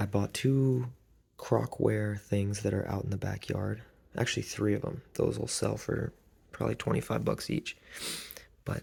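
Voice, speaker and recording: Soft-spoken and at a moderate pace, a man talks on a very clean recording with a silent background. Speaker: reseller vlogger. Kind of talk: casual vlog.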